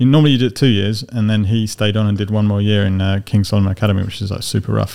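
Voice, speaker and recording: A man's fairly low voice, very fast, with fairly even intonation and hardly any pauses. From outskirts of London. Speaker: podcast co-host. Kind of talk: casual chat. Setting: studio with video camera.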